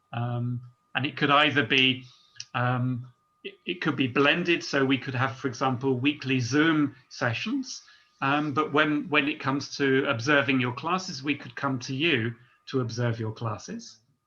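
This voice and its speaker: A man with a medium pitch and a bright, sharp tone speaks at a moderate pace with ordinary pitch variation. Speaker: teacher trainer. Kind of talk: online seminar presentation. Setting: video call. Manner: hesitant, many ums.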